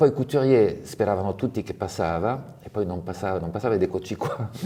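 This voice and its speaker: A man with a French accent, fairly low in pitch with a dark, mellow tone, ordinary pitch variation, big swings in loudness and a fairly quick pace. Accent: French accent in Italian. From France, Provence. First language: French (speaking Italian). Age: 60s. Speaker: fashion designer. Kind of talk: interview.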